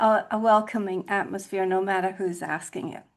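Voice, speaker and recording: Over a quiet background, a woman with an American accent speaks at a medium pitch. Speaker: podcast host. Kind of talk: conversational interview.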